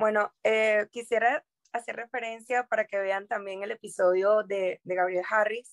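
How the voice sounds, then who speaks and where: A woman's fairly high, fairly even voice at a fairly slow pace, dry and close with no echo. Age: 20s. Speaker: human rights lawyer. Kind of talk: interview. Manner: hesitant with fillers.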